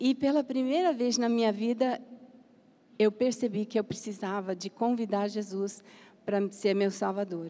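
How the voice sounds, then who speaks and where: With a dark, mellow tone, a woman speaks fairly slowly at a fairly high pitch, using ordinary pitch variation. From Brazil, Campinas. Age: 70s. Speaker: missionary. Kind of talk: panel discussion.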